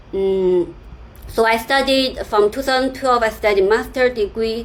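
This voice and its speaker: Speaking fairly slowly, a woman with a Chinese accent uses a fairly high pitch. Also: ordinary pitch variation. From China. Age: 30s. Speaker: software developer and YouTuber. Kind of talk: personal story vlog with screen sharing. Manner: halting, many fillers and repetitions.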